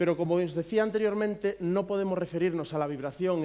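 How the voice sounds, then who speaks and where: A man with a Galician accent, fairly quick pace and ordinary pitch variation. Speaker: physiotherapist. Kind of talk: conference talk. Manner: hesitant, many fillers.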